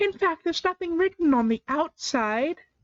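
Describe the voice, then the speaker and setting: Squeaky and extremely high-pitched, a woman's put-on character voice swings very widely in pitch at a moderate pace. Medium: read story. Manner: respectful, hurried.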